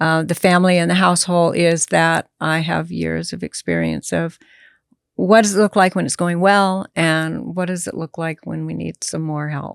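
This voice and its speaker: A woman speaks at a moderate pace. The sound is dry and close with no echo, in a very clean recording with a silent background. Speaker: end of life doula, former hospice nurse. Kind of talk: interview conversation. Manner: matter of fact.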